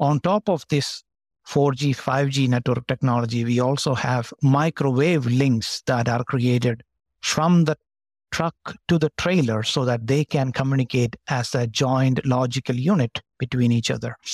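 A man's plain, everyday voice at medium pitch, with very even loudness, ordinary pitch variation and a moderate pace, in a dry, close sound with no echo against a quiet background. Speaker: telecom engineer. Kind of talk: casual chat.

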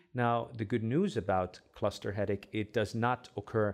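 A man with an Arabic accent, fairly low in pitch, at a moderate pace with fairly even intonation. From Egypt. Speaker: headache specialist doctor. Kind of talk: interview.

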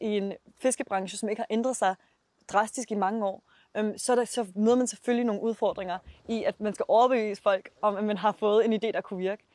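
Against a quiet background, a woman with a fairly high pitch and a dark, mellow tone talks at a fairly quick pace with fairly even intonation, the sound dry and close with no echo. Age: 20s. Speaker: startup founder. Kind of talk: interview.

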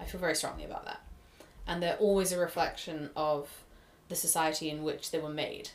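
Over noticeable background noise, a woman talks at a fairly quick pace with monotone, flat intonation and long, frequent pauses. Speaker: film studies student. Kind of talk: casual chat.

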